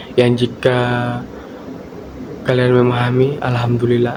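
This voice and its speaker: This is a man speaking. His pitch is medium. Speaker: university student. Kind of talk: student presentation. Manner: uneven volume and pitch; hesitant, many fillers.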